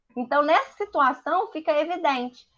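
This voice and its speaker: Lively intonation carries the woman's high-pitched voice. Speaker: business teacher. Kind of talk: online lecture. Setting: livestream with screen share. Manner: animated.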